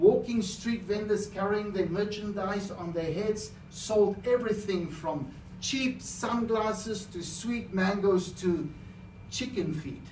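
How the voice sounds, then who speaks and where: A man with a high pitch speaks at a very slow pace with ordinary pitch variation. Audible room echo and noticeable background noise fill the recording. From South Africa. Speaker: public speaker. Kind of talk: contest speech.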